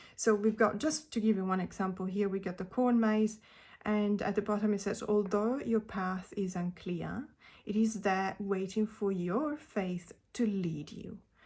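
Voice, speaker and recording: A woman with a non-native accent, medium pitch, a somewhat breathy voice and a fairly slow pace. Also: ordinary pitch variation. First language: not English. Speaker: tarot reader. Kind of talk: casual video talk about tarot decks. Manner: hesitant, many fillers.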